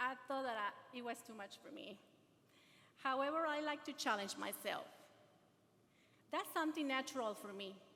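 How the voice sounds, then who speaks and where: Raised and projected, a woman's high voice moves at a moderate pace with long, frequent pauses and big swings in loudness. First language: not English. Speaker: adult education graduate and speaker. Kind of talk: ceremony speech, partly read aloud. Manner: halting.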